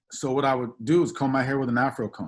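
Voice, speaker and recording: A normal speaking voice delivered at a fairly quick pace. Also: man. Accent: American. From California, Oak Park. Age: 40s. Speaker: assistant principal, keynote speaker. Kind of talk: keynote speech. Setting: video call.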